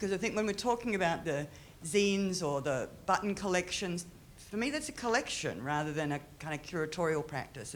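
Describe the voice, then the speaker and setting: With an Australian accent, a woman with a fairly low pitch talks at a fairly quick pace and uses lively intonation. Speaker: audience member at panel, art curator. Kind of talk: audience question at panel discussion. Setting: museum panel with audience.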